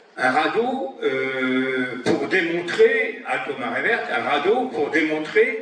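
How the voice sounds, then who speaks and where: A man's high voice with very wide pitch swings at a very slow pace, amid audible room echo and noticeable background noise. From Brittany, Saint-Brieuc bay. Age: 70s. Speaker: environmental association activist. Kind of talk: public talk.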